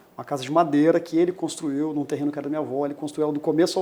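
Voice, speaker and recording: This man talks very fast in a dark, mellow tone, his fairly high pitch held in a monotone, flat intonation. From Brazil, Campo Grande, Mato Grosso do Sul. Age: 40s. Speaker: lawyer, bar association president. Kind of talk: interview.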